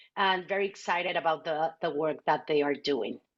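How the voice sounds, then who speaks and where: A woman speaks with a Mexican accent. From Mexico City. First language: Spanish. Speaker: nonprofit CEO. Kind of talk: webinar introduction.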